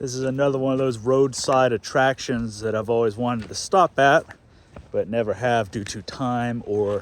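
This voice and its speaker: A man speaks at a fairly slow pace in a medium pitch. His pitch varies in an ordinary way. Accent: American. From Texas. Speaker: automotive YouTuber. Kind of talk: casual chat.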